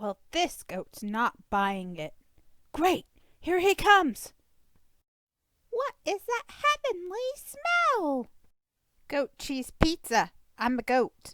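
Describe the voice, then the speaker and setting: In a put-on character voice, a woman squeaks at an extremely high pitch, talking very slowly with long, frequent pauses. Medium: read story. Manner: wry, complaining.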